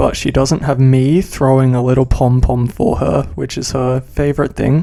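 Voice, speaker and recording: His voice sits at a medium pitch, and this man has a dark, mellow tone. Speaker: gaming content creator. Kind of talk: casual gameplay commentary. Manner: casual, rambling with fillers.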